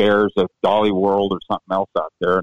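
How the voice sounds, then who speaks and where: This man speaks very fast in a fairly low pitch. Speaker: former amateur champion, broadcaster. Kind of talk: interview.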